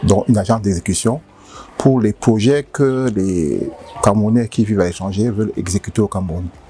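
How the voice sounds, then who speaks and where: Music plays in the background. A man speaks at a fairly low pitch with ordinary variation. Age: 60s. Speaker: company director. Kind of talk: interview. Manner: halting.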